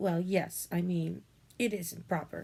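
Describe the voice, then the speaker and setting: Using a put-on character voice, a woman speaks at a fairly slow pace, raspy and fairly low in pitch. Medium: read story. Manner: gentle, hesitant.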